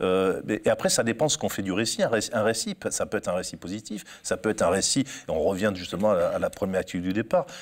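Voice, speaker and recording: Speaking at a very fast pace, a man barely stops for any pauses. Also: quiet background. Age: 50s. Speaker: sports journalist and author; sports journalist. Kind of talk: interview. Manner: halting with frequent word repetitions. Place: studio. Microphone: lapel.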